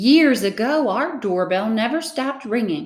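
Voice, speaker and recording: A female-sounding voice uses a put-on character voice, high in pitch and gentle in tone. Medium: read story. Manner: gentle, kindly.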